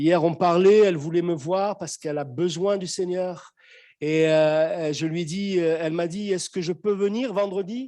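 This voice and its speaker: Against a quiet background, a man speaks at a fairly slow pace. His voice is high with ordinary pitch variation and a dark, mellow tone. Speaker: pastor. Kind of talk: sermon. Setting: church; video call.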